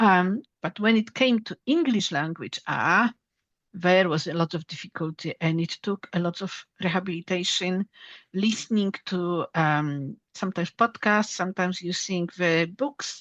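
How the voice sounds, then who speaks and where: With a Polish accent, a woman speaks at a moderate pace in a medium pitch with ordinary pitch variation. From Poland. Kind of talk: interview.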